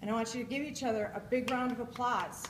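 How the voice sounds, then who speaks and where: A woman speaks at a moderate pace with a fairly high pitch, with audible room echo and noticeable background noise. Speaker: conference speaker. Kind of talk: keynote speech. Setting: stage with audience. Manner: loud; animated.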